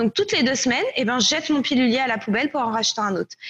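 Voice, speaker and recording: Noticeable background noise runs through the clip. Over it, a woman talks very fast. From France. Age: 20s. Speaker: company co-founder. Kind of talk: casual interview.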